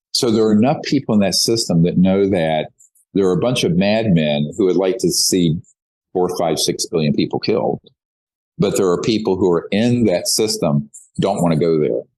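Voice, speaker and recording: A man with a fairly low pitch and a dark, mellow tone talks at a moderate pace. His intonation is lively. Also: very even loudness. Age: 60s. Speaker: UFO researcher and activist. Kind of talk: interview.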